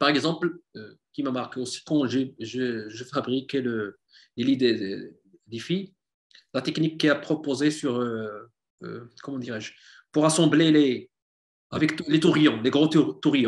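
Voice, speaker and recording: Over a quiet background, a man with a fairly high pitch talks at a very slow pace, with ordinary pitch variation and long, frequent pauses. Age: 40s. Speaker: hobbyist woodworker, civil servant; guest. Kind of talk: interview. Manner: halting, many repetitions. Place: home room. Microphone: video call.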